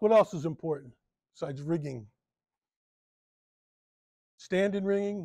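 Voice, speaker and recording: Moderate pace from a man, with a quiet background. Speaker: presenter. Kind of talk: lecture. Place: hall.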